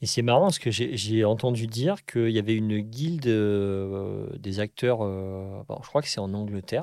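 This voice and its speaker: In a very clean recording with a silent background, a man talks at a fairly slow pace and a medium pitch, his tone dark and mellow. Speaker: podcast host, actor. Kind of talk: casual interview chat.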